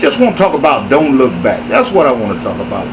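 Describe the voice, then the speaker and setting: Fairly quick and lively in intonation, a man talks at a fairly high pitch. Audible room echo and noticeable background noise surround him. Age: 60s. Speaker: inspirational speaker. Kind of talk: motivational sermon.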